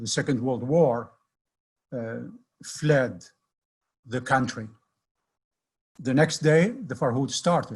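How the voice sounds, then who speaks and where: With long, frequent pauses, a man speaks very slowly in a somewhat breathy, medium-pitched voice with ordinary pitch variation. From Baghdad, Iraq. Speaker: editor and community leader. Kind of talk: history lecture on video call.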